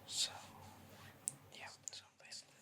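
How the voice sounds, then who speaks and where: A man whispering in a calm tone, with noticeable background noise. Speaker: ASMR creator. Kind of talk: ASMR urban legend storytelling. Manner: whispered.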